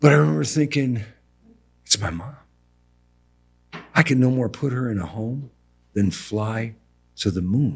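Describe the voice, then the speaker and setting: The man's tone is animated. Lively intonation marks his speech. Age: 60s. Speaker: building contractor. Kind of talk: casual chat. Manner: animated storytelling.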